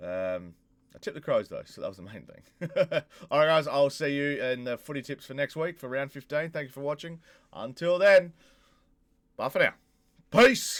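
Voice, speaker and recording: A man's fairly high voice with an Australian accent, moderate pace, long and frequent pauses, and big swings in loudness. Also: lively intonation. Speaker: YouTuber, football tipster. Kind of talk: casual vlog predictions.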